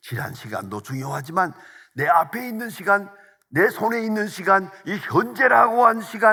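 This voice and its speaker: Speaking at a fairly slow pace, a man with a high pitch and a bright, sharp tone makes very wide pitch swings. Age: 80s+. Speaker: pastor. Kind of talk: sermon.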